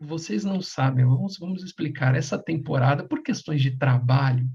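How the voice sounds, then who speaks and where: Soft-spoken and somewhat breathy, a man with a dark, mellow tone talks at a fairly high pitch with ordinary pitch variation. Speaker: podcast co-host. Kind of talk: casual chat. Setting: home at night. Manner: speaking softly.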